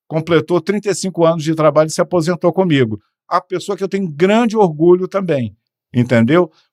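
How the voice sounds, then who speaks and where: Recorded very cleanly against a silent background with a dry, close sound and no echo, a man speaks high in pitch at a fairly quick pace with ordinary pitch variation. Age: 60s. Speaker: podiatry entrepreneur. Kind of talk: podcast interview. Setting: studio.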